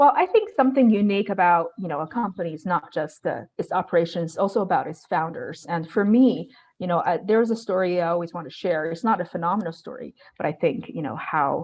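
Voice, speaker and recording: A woman with a Chinese accent at a very fast pace, her loudness swinging widely. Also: medium pitch for a woman. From China. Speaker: real estate investor. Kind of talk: interview. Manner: hesitant, many fillers.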